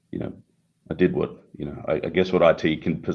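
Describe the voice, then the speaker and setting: The speech has an Australian accent and a fairly quick pace. The intonation is monotone and flat. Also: man. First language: Italian. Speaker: tech company CEO. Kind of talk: interview.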